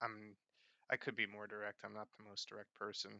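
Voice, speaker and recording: This man is soft-spoken. His pitch sits fairly low. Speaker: vlogger. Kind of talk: casual talking-head vlog. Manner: halting, many fillers.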